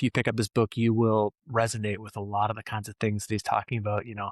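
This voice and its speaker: Very fast speech from a man at medium pitch, dry and close with no echo, in a very clean recording with a silent background. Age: 40s. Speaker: podcast host; former rock band musician. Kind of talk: scripted narration; casual chat.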